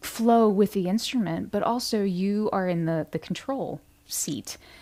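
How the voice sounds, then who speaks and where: A soft-spoken woman with a dark, mellow, calm tone talks at a very slow pace with ordinary pitch variation, on a very clean recording with a silent background. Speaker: meditation guide and musician. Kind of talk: guided meditation talk. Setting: livestream.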